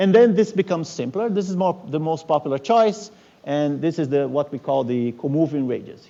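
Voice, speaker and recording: Here a man is talking. His delivery is fairly quick. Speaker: physics professor. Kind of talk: lecture. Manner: fast; halting.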